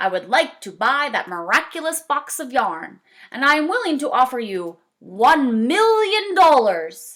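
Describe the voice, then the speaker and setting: A woman speaks at a moderate pace in a put-on character voice with a high pitch. Her pitch swings very widely and her loudness rises and falls sharply. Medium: read story. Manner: imperious, demanding.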